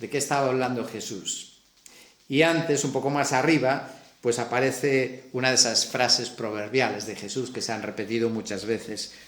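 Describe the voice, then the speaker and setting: Over noticeable background noise and audible room echo, a man with a Galician accent speaks at a moderate pace in a medium-pitched voice with fairly even intonation. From Galicia, Spain. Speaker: preacher. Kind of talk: sermon.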